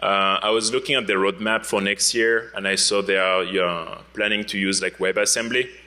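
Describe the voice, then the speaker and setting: Speaking at a moderate pace with a French accent, a man keeps his fairly low voice in a flat, monotone intonation. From France. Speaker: security researcher. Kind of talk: conference talk. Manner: hesitant, many fillers.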